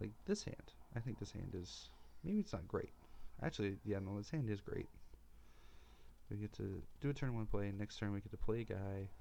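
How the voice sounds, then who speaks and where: A soft-spoken man with long, frequent pauses. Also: moderate pace. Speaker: card game streamer. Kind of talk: gameplay commentary. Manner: soft-spoken, speaking quietly.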